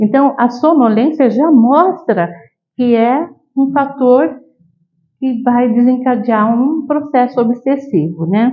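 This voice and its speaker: Very slowly and at very even loudness, a woman speaks in a high pitch. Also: ordinary pitch variation. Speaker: spiritist lecturer. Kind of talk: lecture. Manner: halting, many fillers.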